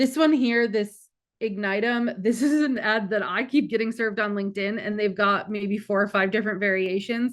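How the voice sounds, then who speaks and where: A woman's fairly high, unremarkable speaking voice at a moderate pace with fairly even intonation. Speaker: marketing director presenting a webinar. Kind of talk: webinar presentation with Q&A.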